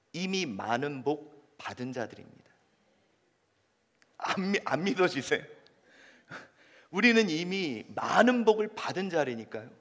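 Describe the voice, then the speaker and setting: A man talks at a very slow pace with long, frequent pauses, his pitch swinging very widely. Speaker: pastor. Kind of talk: sermon.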